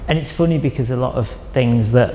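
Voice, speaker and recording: Amid noticeable background noise, a man with a northern English accent and a medium-pitched voice speaks at a moderate pace. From northern England (Chester). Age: 40s. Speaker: artist. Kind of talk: interview monologue about own artwork.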